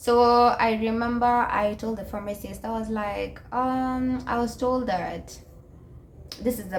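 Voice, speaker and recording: Against noticeable background noise, a woman speaks fairly slowly in a fairly high pitch with monotone, flat intonation. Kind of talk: casual talk to camera. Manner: hesitant, many filler sounds.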